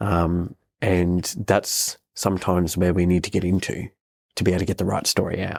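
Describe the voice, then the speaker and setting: A man with an Australian accent and a very deep, low pitch, on a very clean recording with a silent background. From Australia, southeast Queensland. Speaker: CEO and media personality. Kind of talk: podcast interview answer.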